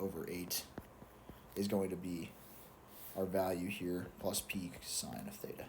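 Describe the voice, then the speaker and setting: A man speaks at a very slow pace. There is audible room echo. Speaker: student explaining exam solutions. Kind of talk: tutorial. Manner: casual, self-correcting with fillers.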